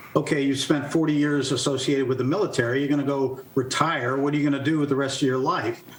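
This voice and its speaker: Amid noticeable background noise and audible room echo, a man talks fairly quickly at a fairly high pitch. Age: 60s. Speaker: retired army general, author and speaker. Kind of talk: interview.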